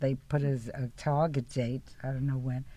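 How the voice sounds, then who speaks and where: Speaking fairly slowly with a New York accent, a woman has a very deep, low pitch, a dark, mellow tone and fairly even intonation on a very clean recording with a silent background. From New York City, the Bronx. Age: 80s+. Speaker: peace activist. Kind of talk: casual chat. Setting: studio.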